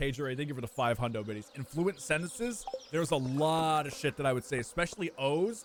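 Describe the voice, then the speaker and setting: The speech has lively intonation. Noticeable background noise runs underneath. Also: man. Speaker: video game streamer. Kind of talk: casual live stream chat. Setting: live stream with chat. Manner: animated.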